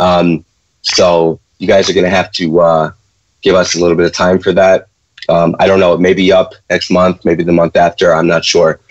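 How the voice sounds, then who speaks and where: A man with a Chicago accent speaks in a very deep, low pitch with monotone, flat intonation, very even loudness and a moderate pace. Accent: Chicago American. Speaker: trading educator, co-host. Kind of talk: live Q&A stream. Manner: hesitant, many fillers.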